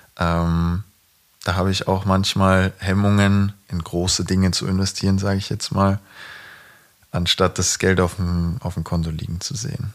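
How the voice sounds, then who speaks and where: Very deep and low in pitch, a man talks with fairly even intonation. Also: moderate pace. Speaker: professional footballer, podcast co-host. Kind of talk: casual chat.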